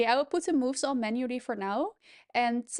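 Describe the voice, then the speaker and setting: Against a quiet background, a woman with a Dutch accent speaks at a high pitch with ordinary pitch variation, in a dry, close sound with no echo. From Netherlands. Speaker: chess streamer. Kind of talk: live commentary.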